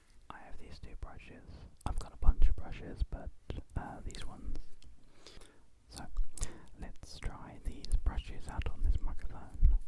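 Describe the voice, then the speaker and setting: The whispered speech goes fairly slowly, broken by long pauses that come often. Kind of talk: ASMR whispered trigger video for sleep. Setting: home studio with a condenser microphone. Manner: whispered, close-up, soft.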